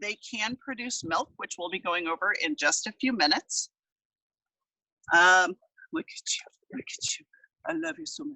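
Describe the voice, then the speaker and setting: A woman speaks loudly and fairly slowly. Her pitch swings very widely. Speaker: small backyard farmer showing animals to a class. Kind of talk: live tour and demonstration for students. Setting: video call outdoors in backyard.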